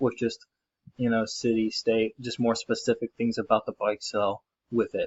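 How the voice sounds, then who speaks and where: In an American accent, the words come at a middling pace. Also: man. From US South, Charlotte, North Carolina. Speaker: university student. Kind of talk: tutorial. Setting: screen recording. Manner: halting, many fillers.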